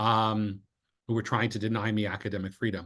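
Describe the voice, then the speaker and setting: A man's fairly quick speech comes through against a quiet background. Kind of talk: interview conversation. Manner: loud.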